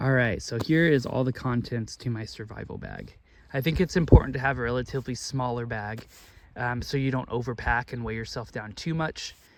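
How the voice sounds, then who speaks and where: At a moderate pace, a man with a medium pitch talks with vocal fry and ordinary pitch variation. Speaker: student. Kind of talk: casual talk to camera. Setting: outdoors. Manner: hesitant, many fillers.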